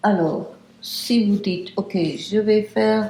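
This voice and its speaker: With audible room echo and noticeable background noise, a woman speaks at a very slow pace in a medium pitch with ordinary pitch variation. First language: English (speaking French). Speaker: meditation teacher. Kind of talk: lecture. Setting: retreat house. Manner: halting.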